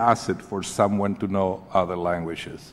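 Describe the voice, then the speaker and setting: A man with a Spanish accent. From Chile. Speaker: advocacy group leader. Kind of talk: congressional testimony. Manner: formal.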